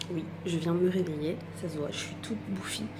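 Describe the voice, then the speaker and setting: Soft-spoken and fairly low-pitched, a woman talks at a very slow pace amid noticeable background noise and audible room echo. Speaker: vlogger, young mother. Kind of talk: casual vlog. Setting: small apartment at home. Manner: soft-spoken, speaking quietly.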